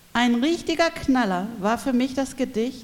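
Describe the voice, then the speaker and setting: A woman speaks at a fairly slow pace in a plain, everyday voice. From Berlin. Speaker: cultural educator. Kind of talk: reading aloud.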